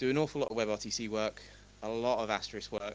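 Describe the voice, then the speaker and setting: Vocal fry marks a man's voice as he talks at a fairly quick pace. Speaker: tech conference speaker, company founder. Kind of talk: conference talk. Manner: animated.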